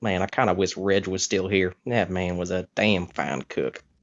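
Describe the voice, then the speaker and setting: Putting on a character voice, a man mumbles at a moderate pace with a very deep, low pitch and fairly even intonation. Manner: muttering to himself.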